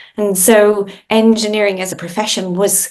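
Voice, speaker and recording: With an Irish accent, a woman talks at a fairly slow pace in a medium pitch. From Ireland. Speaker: industry association CEO, engineer. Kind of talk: podcast interview.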